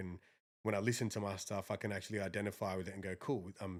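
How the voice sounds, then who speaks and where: Someone speaks with an Australian accent on a very clean recording with a silent background. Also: man. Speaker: rapper. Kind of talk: podcast interview. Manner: casual.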